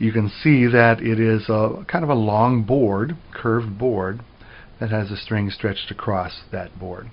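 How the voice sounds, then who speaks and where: With an American accent, a man speaks at a fairly slow pace in an unremarkable speaking voice, medium in pitch and with ordinary pitch variation. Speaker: music professor. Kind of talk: lecture.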